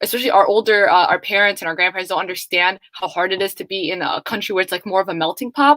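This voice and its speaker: With a Somali accent, a woman talks very fast at a medium pitch, her tone bright and sharp and the sound dry and close with no echo. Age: young. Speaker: student panelist. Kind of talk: panel discussion.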